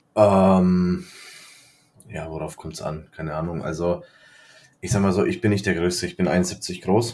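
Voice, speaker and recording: A man with a very deep, low pitch speaks with big swings in loudness and long, frequent pauses. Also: fairly even intonation, fairly slow pace. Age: 20s. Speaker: podcast co-host. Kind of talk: casual chat.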